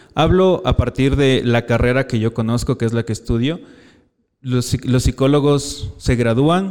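A normal speaking voice from a man, medium in pitch and moderate in pace. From Ecuador, Quito. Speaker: psychology student. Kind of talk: live interview. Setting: live event with audience.

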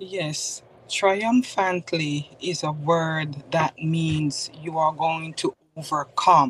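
Slow to an extreme, a woman speaks with a Jamaican accent in a very deep, low pitch and a somewhat breathy voice. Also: ordinary pitch variation. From Jamaica, Spanish Town. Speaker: author and mentor. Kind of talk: testimony.

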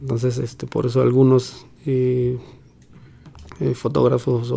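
A man is speaking. His pace is fairly slow. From Mexico City. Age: 40s. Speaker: bicycle mechanic and cycling traveler. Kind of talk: interview testimony.

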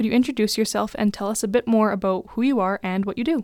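A woman's fairly high voice at a very fast pace, on a very clean recording with a silent background. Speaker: student guest host. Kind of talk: interview.

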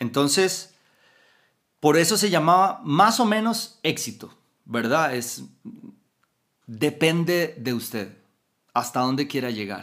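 A man with a fairly high pitch and a Costa Rican accent speaks at a very slow pace, with long, frequent pauses. His pitch swings very widely. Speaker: motivational podcaster. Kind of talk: motivational talk.

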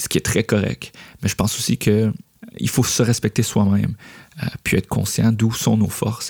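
A man with a Quebec accent talks at a fairly low pitch and a moderate pace, with fairly even intonation and long, frequent pauses, in a dry, close sound with no echo. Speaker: podcast host, creative entrepreneur. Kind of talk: solo podcast monologue. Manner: hesitant with frequent fillers.

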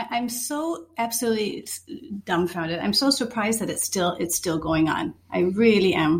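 A woman with an American accent speaks at a fairly high pitch. Her intonation is lively, with noticeable background noise. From Minnesota, US Midwest. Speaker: chef and culinary teacher. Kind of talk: casual conversation.

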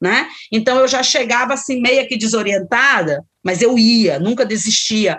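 She has a normal speaking voice at a fairly high pitch. The woman talks at a fairly slow pace with ordinary pitch variation. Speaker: psychologist and professor. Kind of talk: interview.

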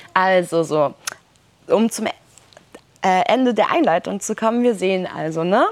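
A woman with a medium pitch talks at a moderate pace with ordinary pitch variation, leaving long, frequent pauses over noticeable background noise. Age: 20s. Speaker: social worker and activist speaker. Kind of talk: workshop talk. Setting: summer camp workshop with audience.

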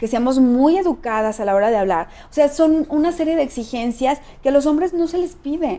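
Speaking at a fairly quick pace, a woman with a Mexican accent uses lively intonation and a high pitch. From Mexico, San Luis Potosí. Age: 40s. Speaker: political candidate. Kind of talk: interview.

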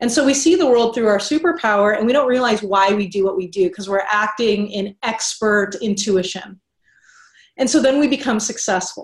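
Somewhat breathy, a woman talks at a moderate pace with a fairly high pitch. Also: ordinary pitch variation. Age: 30s. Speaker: business coach. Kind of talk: interview.

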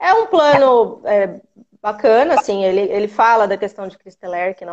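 A woman with an ordinary speaking voice, a fairly high pitch and lively intonation at a fairly slow pace. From interior of São Paulo state, Brazil. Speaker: pregnant caller. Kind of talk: live Q&A call-in.

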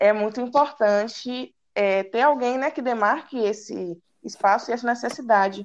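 Speaking at a fairly slow pace, a woman with a fairly high voice shows ordinary pitch variation. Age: 20s. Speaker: university student. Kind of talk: casual chat.

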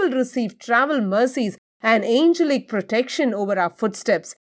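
The tone is intense, with very wide pitch swings. The pace is moderate. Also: woman. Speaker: prayer leader. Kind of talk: fervent prayer, commanding spiritual warfare declarations. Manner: intense, forceful, authoritative; rhythmic, rising cadence with repeated lists.

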